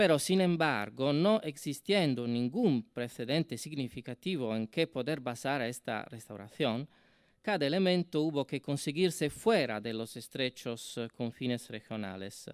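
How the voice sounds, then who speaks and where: A man's fairly high voice with an Italian accent, lively intonation and a fairly slow pace, on a very clean recording with a silent background and a dry, close sound without echo. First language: Italian (speaking Spanish). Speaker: university professor, symposium speaker. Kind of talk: academic conference talk. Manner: hesitant with fillers.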